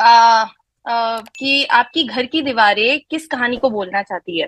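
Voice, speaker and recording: A woman's high-pitched voice carries a bright, sharp tone with a dry, close sound and no echo. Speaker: network marketing distributor. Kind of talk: live online presentation. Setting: online live session with chat. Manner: hesitant, frequent fillers; code-switching Hindi-English.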